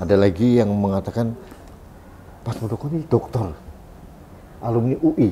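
A man speaks at a moderate pace in a medium pitch, with ordinary pitch variation, long and frequent pauses, and light background noise. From Indonesia, East Java (Blitar); East Java, Indonesia. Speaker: online talk show host. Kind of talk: interview. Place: office.

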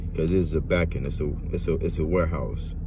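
A man with a very deep, low pitch is recorded with a dry sound and no echo, over noticeable background noise. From Louisiana. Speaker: vlogger. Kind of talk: personal monologue to camera. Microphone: phone near.

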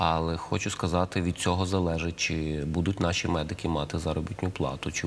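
With a very deep, low pitch, a man speaks at a moderate pace and with fairly even intonation. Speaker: guest. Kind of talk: interview answer. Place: studio. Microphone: lapel.

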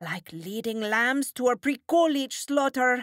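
A female-sounding put-on character voice, high-pitched and fairly slow, on a very clean recording with a silent background.

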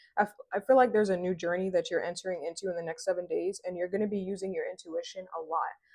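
Against a quiet background, a woman talks at a very fast pace with fairly even intonation. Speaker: tarot reader. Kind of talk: tarot reading to viewers. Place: home room. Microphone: lapel.

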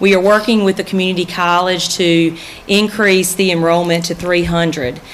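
A woman with an unremarkable speaking voice talks at a fairly low pitch and a moderate pace. Her intonation is fairly even, and there is light background noise. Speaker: high school principal. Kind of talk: progress report presentation. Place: hall. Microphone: podium.

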